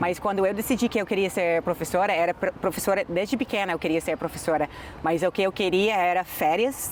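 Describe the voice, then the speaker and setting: A woman speaks at a moderate pace, with a medium pitch and ordinary pitch variation. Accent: English. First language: English (speaking Portuguese). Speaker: English teacher. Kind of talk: interview.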